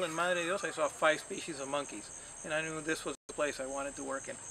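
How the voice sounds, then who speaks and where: A man with a fairly high pitch talks at a moderate pace with ordinary pitch variation over noticeable background noise. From Peru (Lima), partly Colombia. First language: Spanish. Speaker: tour company owner. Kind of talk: interview. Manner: hesitant, many fillers.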